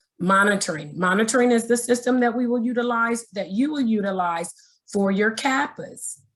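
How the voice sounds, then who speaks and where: At a moderate pace, a woman speaks in a plain, everyday voice with a fairly high pitch and ordinary pitch variation. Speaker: state education agency trainer. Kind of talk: webinar training presentation.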